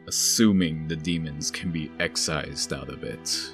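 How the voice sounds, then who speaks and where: Over clear background music, a man puts on a character voice pitched very deep and low, speaking at a moderate pace. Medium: audio drama. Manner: tired.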